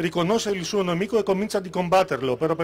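Over light background noise, a man with a Greek accent talks at a very fast pace in a high pitch. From Greece. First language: Greek (speaking Italian). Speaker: political candidate; candidate. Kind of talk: campaign speech. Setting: stage with audience. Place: stage. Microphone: handheld.

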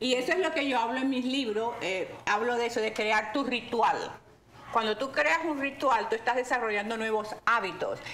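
At a moderate pace, a woman with a high voice speaks with ordinary pitch variation over light background noise. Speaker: bodybuilder guest; guest. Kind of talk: interview answer. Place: home room.

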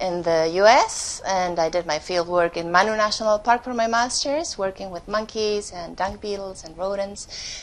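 Her pitch moves in an ordinary way. The woman keeps a moderate pace. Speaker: speaker. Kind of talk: lecture. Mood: nervous but warm. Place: hall.

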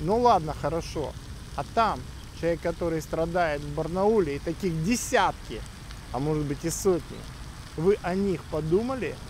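Over light background noise, a man with a high pitch speaks with long, frequent pauses. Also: ordinary pitch variation, moderate pace, dry sound with no echo. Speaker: YouTube vlogger and education agent in Australia. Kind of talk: monologue vlog. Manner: blunt, sharp. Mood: critical, indignant. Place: street. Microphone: phone near.

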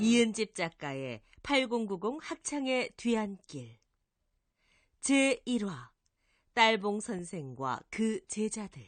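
Over a quiet background, a woman speaks very slowly in a fairly high pitch, her voice making very wide pitch swings between long, frequent pauses. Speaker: voice actor. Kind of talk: narration.

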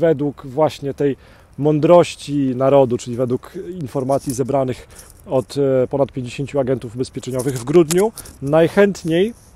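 A man's voice with ordinary pitch variation in a dry sound with no echo. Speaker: insurance trainer. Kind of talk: casual vlog chat. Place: forest. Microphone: earbuds.

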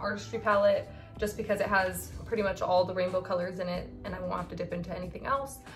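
A woman speaks fairly quickly while clear music plays behind her. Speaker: beauty vlogger. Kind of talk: makeup tutorial chat. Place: home room. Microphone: phone near.

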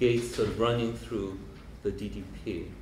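A man with a Korean accent talks at a fairly slow pace, with light background noise and audible room echo. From South Korea. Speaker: professor and biennale director. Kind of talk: lecture. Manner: hesitant with many fillers. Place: hall. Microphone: handheld.

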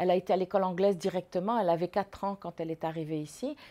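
The woman speaks at a fairly quick pace. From Morocco. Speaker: former student; interviewee. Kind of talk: testimony. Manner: halting. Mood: calm, reflective reminiscing. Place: home room.

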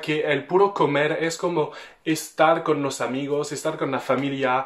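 The speaker has a French accent and a fairly slow pace. Pitch variation is ordinary, and the background is quiet. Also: man. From France. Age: 20s. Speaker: French vlogger talking about Mexico. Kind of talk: casual talk to camera. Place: home room.

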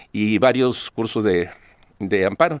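Recorded dry with no echo and a quiet background, a man speaks at a fairly low pitch. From Sonora, Mexico (Cananea); Sonora, Mexico. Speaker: lawyer and political candidate; interview guest. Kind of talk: interview. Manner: halting, many repetitions. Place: studio. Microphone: podium.

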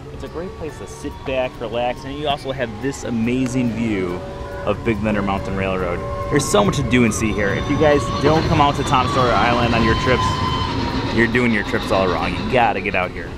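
A man at a fairly quick pace, dry sound with no echo, loud music in the background. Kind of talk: casual vlog chat. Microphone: phone near.

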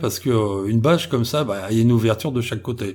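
A man talks at a fairly quick pace in a normal speaking voice with a medium pitch. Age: 50s. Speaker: explorer on cryptid expeditions. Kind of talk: interview.

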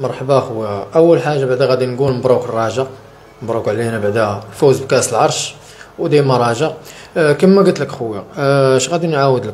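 Speaking fairly quickly, a man shows normal rises and falls in pitch. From Morocco. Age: 30s. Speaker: interviewee. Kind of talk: testimony. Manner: halting. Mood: sad, earnest. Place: home room. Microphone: handheld.

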